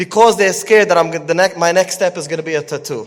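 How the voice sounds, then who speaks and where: Pitch moves in an ordinary way as this man speaks. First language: Yiddish. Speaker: parenting coach and Torah teacher. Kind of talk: lecture.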